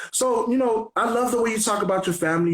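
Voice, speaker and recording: A man's very fast speech with ordinary pitch variation and audible room echo. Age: 30s. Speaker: radio host. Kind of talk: interview. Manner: casual.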